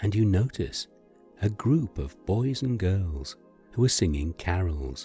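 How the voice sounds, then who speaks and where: With music in the background, the voice has a soothing tone and lively intonation. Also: man. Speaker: narrator. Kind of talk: sleep story. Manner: soft, slow, soothing.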